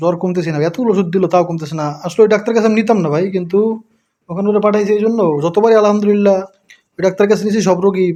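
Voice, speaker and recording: Ordinary pitch variation marks this man's dark, mellow tone. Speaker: family vlogger. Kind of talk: casual vlog narration.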